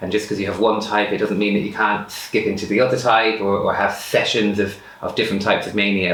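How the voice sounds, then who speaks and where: With an Irish accent, a man talks at a fairly low pitch. There is audible room echo and noticeable background noise. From rural Ireland. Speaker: person sharing lived experience of bipolar. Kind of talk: personal testimony interview. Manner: fast.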